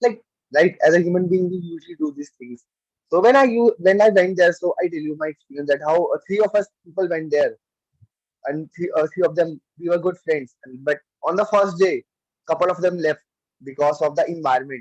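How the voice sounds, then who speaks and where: A man with an Indian accent and a high pitch talks at a fairly quick pace with ordinary pitch variation, in a dry, close sound with no echo. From India, Delhi. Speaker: club member giving a speech. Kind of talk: speech. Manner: halting; soft-spoken.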